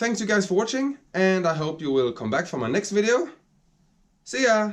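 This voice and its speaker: In a Swedish accent, a man speaks at a high pitch with very wide pitch swings. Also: moderate pace. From Sweden. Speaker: woodworking hobbyist YouTuber. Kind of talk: workshop video narration. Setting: home workshop. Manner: halting, searching for words.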